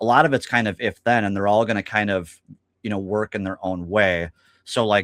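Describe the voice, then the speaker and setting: A man with a fairly low pitch talks at a fairly quick pace in a normal speaking voice. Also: fairly even intonation, very clean recording, silent background. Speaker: stock market technical analyst. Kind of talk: casual market discussion.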